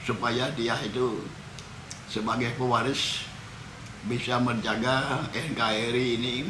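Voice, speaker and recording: Very slow, monotone, flat speech from a man at a medium pitch, with long, frequent pauses, noticeable background noise and audible room echo. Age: 80s+. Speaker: war veteran. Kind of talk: interview.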